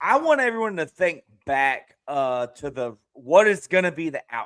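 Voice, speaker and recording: Very wide pitch swings mark this man's high voice. He speaks at a moderate pace. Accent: Southern. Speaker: streamer and podcast host. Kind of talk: casual panel discussion. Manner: mumbling.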